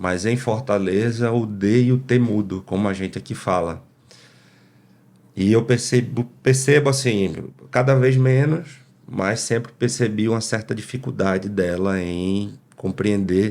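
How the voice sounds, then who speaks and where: A man speaks in a normal speaking voice at a medium pitch. His pace is fairly slow, and his pitch variation is ordinary. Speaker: podcast host. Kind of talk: interview. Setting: live stream.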